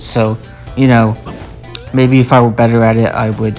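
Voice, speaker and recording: A man is speaking. Music plays in the background. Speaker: gaming YouTuber. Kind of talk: casual gameplay voiceover. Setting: large room with echo.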